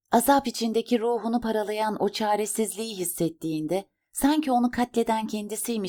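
The intonation stays fairly even while the text is read aloud in a natural voice, the background quiet.

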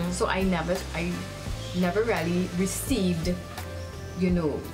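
Clear background music under speech at a moderate pace. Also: woman. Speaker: media personality and TV host. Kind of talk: interview answer. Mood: calm, reflective, warm. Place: garden.

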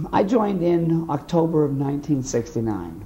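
A man with an American accent speaks in a fairly high pitch. His intonation is lively, and there is noticeable background noise. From US Northeast (Boston area, Massachusetts). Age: 50s. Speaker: war veteran. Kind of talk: oral history interview.

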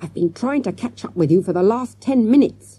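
A female-sounding put-on character voice moves at a fairly quick pace with a medium pitch. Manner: gasping, urgent.

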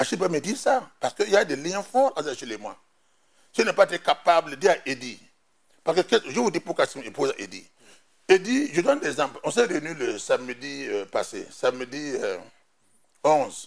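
With a Burkinabe accent, a man speaks at a moderate pace, his pitch swinging very widely, broken by long, frequent pauses. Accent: Burkinabè French. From Burkina Faso. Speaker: politician, party executive; politician. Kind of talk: TV interview, political debate. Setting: TV studio. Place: studio. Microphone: lapel.

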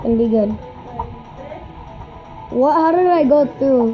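Clear music plays behind a woman speaking at a moderate pace. Her pitch is high, with ordinary variation. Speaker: gamer. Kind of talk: casual gameplay commentary. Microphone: phone near.

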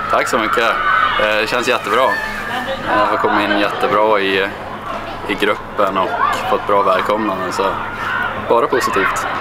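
Loud background noise surrounds a man who talks at a moderate pace with long, frequent pauses. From Kramfors, Höga kusten, northern Sweden. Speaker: fitness coach. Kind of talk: interview answer. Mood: friendly, relaxed. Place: stadium.

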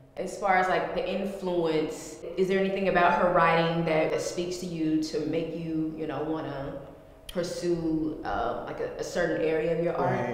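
Moderate pace with strong room echo. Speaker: interviewer, community partnerships program manager. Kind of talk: interview host. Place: hall.

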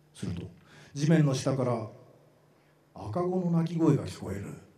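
At a fairly slow pace, a man with a fairly high pitch and a dark, mellow tone speaks with vocal fry and very wide pitch swings, and the room echo is audible. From Japan, Matsue. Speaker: actor. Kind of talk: literary reading performance. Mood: eerie, hushed storytelling. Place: stage. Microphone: handheld.

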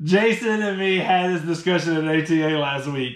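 Audible room echo surrounds a man's voice. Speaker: product reviewer. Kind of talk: casual unboxing review chat. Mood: amused, joking. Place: home room. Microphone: camera far.

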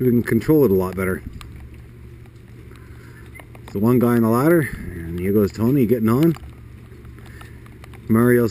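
A man speaks at a fairly quick pace and medium pitch, in a dark, mellow tone. Long, frequent pauses break his speech over faint background noise.

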